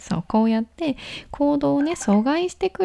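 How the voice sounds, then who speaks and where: A woman speaks in a relaxed tone, her pitch swinging very widely. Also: dry, close sound with no echo. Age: 20s. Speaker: solo podcast host. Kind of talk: casual solo radio talk. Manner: relaxed, conversational with fillers.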